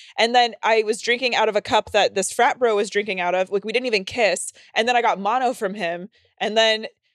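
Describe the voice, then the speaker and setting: An ordinary speaking voice from a woman, fairly high in pitch, fairly quick and fairly even in intonation, with a dry, close sound with no echo and a very clean recording over a silent background. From North Carolina, US South. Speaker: podcast co-host. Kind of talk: casual chat, bawdy comedy.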